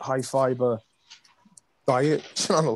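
A man with an Irish accent at a very slow pace, over a quiet background. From Ireland. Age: 30s. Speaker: comedy actor. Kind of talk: casual chat. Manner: animated. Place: home room. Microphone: video call.

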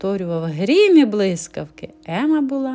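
An unforced reading voice is heard. It carries through the whole clip.

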